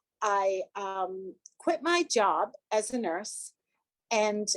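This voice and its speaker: Pitch swings very widely. The sound is dry and close, with no echo. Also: woman. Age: 70s. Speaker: 12-step meeting speaker, retired nurse. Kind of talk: personal testimony. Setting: video call. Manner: halting.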